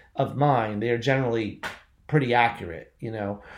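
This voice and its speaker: This man has an ordinary speaking voice, an American accent and a medium pitch. He talks at a moderate pace with ordinary pitch variation. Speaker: poet and magazine editor. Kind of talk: interview.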